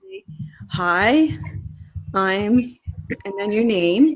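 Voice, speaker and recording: Lively intonation marks this woman's medium-pitched voice. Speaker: online yoga teacher. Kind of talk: casual chat. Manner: halting.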